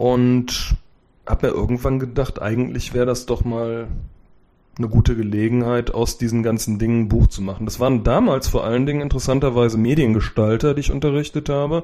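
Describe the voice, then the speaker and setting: The tone is dark and mellow, with fairly even intonation. The pace runs fairly quick. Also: man, medium pitch for a man. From Germany, Cologne. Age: 40s. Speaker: software developer and IT book author. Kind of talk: interview.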